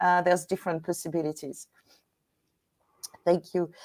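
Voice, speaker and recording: A woman with a French accent speaks at a fairly low pitch. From Normandy, France. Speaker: battlefield guide and historian. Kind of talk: guest presentation. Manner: halting.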